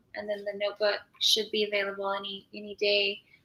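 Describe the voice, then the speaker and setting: A woman talks at a fairly quick pace with an American accent. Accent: slight Southern, kept professional. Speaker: author. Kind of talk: casual interview chat. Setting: live stream.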